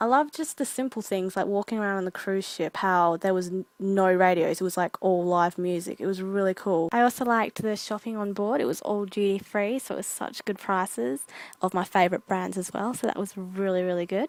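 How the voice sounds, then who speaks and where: A woman with an Australian accent and medium pitch talks at a fairly quick pace with hardly any pauses, sounding dry and close with no echo on a very clean recording with a silent background. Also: ordinary pitch variation. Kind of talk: casual vlog narration.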